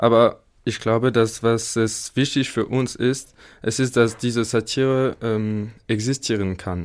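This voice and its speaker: The speaker has a French accent and a monotone, flat intonation at a very slow pace. The recording is very clean with a silent background. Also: man, medium pitch for a man. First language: French (speaking German). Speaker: engineering student. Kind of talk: studio interview. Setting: studio. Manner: halting.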